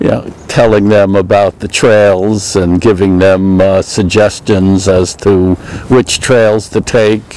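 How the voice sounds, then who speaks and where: Over noticeable background noise, a man speaks at a very slow pace. His fairly low voice is monotone and flat. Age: 70s. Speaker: retired engineer, park volunteer. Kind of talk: interview testimony. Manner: halting, many filler words.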